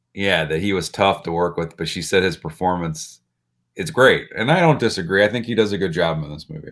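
In an American accent, a man speaks with a very deep, low pitch. His pace is fairly quick. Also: ordinary pitch variation, very clean recording, silent background. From Illinois. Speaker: film podcast co-host. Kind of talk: casual chat.

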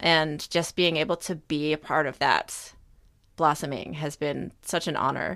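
A woman's very deep, low pitch with vocal fry, ordinary pitch variation and a fairly slow pace on a very clean recording with a silent background. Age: 30s. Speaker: therapist. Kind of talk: casual chat.

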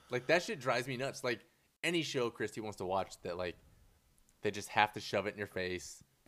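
On a very clean recording with a silent background, a man talks fairly quickly at a medium pitch in a plain, everyday voice with lively intonation. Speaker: podcast co-host. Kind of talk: casual chat.

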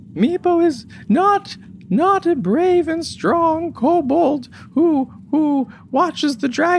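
A man's put-on character voice, extremely high-pitched and very slow, over clear background noise. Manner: distressed, emotional.

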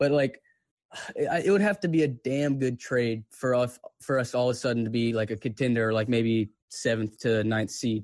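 Speaking at a moderate pace in an unremarkable speaking voice, a man holds a medium pitch with ordinary pitch variation. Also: very even loudness. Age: 20s. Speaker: sports fan caller. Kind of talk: casual chat.

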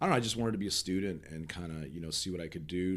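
This man's voice sits very deep and low. Behind it the background is silent, and the recording is very clean. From Nebraska, US Midwest. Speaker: film producer, former broadcaster. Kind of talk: casual interview chat. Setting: studio.

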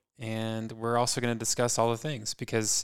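At a moderate pace and medium pitch, a man with an ordinary speaking voice talks on a very clean recording with a silent background. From California (San Francisco Bay Area). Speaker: podcast co-host. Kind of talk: casual chat.

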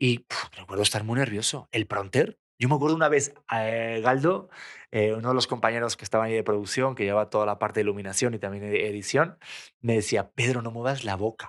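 At a fairly quick pace, a man talks at a medium pitch with ordinary pitch variation in a very clean recording with a silent background. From Spain. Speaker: TV presenter and actor. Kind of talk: casual chat. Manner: fast.

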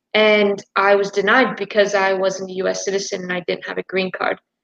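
A woman talks with an American accent. Her pace is fairly quick. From United States. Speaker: university soccer player. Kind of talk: live stream discussion.

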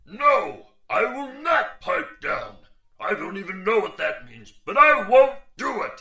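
At a fairly slow pace, a man performs in a put-on character voice. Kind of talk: comic overacting. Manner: blustering, commanding, then sulky.

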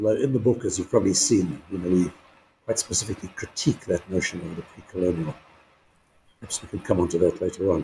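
A somewhat breathy man with a very deep, low pitch and a dark, mellow tone talks at a very fast pace, with ordinary pitch variation and big swings in loudness. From South Africa, KwaZulu-Natal. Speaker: retired history professor. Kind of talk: interview.

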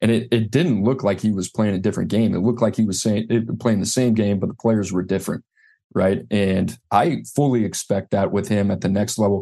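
A man with an American accent speaks at a fairly low pitch and fairly quick pace. His tone is dark and mellow, his intonation fairly even, and the background quiet. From US South, New Orleans. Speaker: recruiting analyst, former college football staffer. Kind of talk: casual interview.

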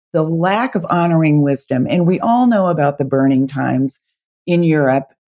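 A woman's dark, mellow tone at a moderate pace. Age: 60s. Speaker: author and spiritual tour guide. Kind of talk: casual interview chat.

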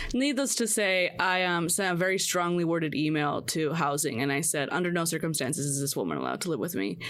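Over noticeable background noise, the speaker goes at a very fast pace with hardly any pauses, lively intonation and very even loudness. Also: woman, fairly low pitch for a woman. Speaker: podcast host. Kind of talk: casual chat. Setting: video call.

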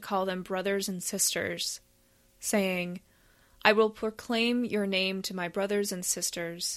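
A woman with an unremarkable speaking voice talks at medium pitch and a fairly slow pace, with fairly even intonation. The recording is very clean, with a silent background. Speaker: scripture reader. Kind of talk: reading aloud.

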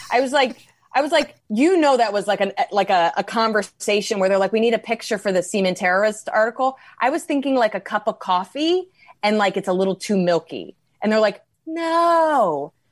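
A woman with a New York accent speaks in an animated tone at a fairly quick pace, her fairly high pitch swinging very widely. Her loudness stays very even over a quiet background. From New York, US. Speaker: comedian, podcast co-host. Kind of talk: casual comedic chat. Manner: animated, many fillers.

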